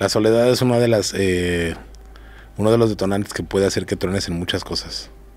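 At a fairly quick pace, a man speaks in a fairly low pitch with fairly even intonation, the sound dry with no echo. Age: 40s. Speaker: bodyguard; podcast guest. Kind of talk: casual interview. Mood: candid, serious. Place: studio. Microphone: studio mic.

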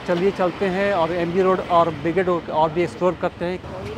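With music in the background, a man at high pitch speaks at a moderate pace, and the sound is dry with no echo. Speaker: travel vlogger. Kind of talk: casual vlog commentary. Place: street.

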